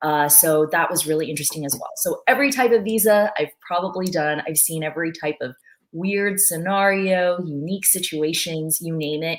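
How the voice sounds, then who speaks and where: A woman talks at a moderate pace with a fairly low pitch, ordinary pitch variation and hardly any pauses. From born in China, moved to US as a child. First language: Mandarin Chinese. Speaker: former visa officer. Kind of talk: webinar talk.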